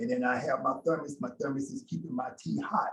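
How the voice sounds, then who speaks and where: His pitch fairly high, the man swings very widely up and down as he talks. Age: 60s. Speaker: yoga teacher. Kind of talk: online class Q&A and closing remarks. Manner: casual, hesitant with many fillers.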